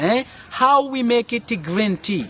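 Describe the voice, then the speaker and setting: With an East African accent and lively intonation, a man speaks over noticeable background noise. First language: Swahili. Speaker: spice farm tour guide. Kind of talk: guided tour explanation. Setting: outdoors on a spice farm.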